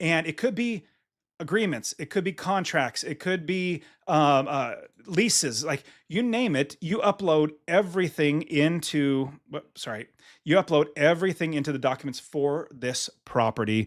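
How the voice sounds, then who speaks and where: A man's fairly high-pitched voice with lively intonation at a moderate pace, on a very clean recording with a silent background. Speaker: real estate investor and software founder. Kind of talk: software tutorial walkthrough. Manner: enthusiastic, animated.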